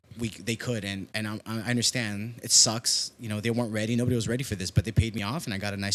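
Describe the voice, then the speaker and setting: Talking at a very fast pace, a man with a Mexican accent sounds animated. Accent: Mexican tinge on Spanish words. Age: 20s. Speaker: musician and musical director. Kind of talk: casual chat.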